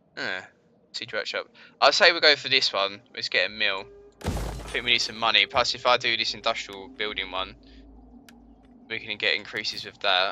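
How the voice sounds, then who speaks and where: A man at a moderate pace, long, frequent pauses, and music in the background. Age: 20s. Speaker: gaming streamer. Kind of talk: live gameplay commentary. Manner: casual, thinking aloud.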